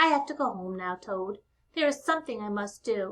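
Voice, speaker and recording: A woman performs a put-on character voice at a fairly high pitch. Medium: read story. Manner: warm, encouraging.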